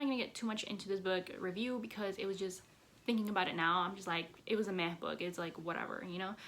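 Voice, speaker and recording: Her voice sits at a medium pitch and shows ordinary pitch variation. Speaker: booktuber. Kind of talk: casual book review vlog. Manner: chatty, filler-heavy.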